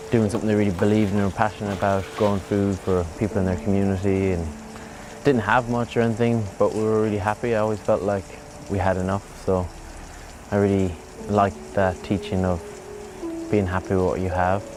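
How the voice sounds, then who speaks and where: A man with a western Irish accent speaks at a fairly quick pace, yet with long, frequent pauses. His pitch is fairly low and his intonation fairly even, over noticeable background noise. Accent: Irish (west of Ireland). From County Mayo, Ireland. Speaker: surfer and organic farmer. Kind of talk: documentary interview.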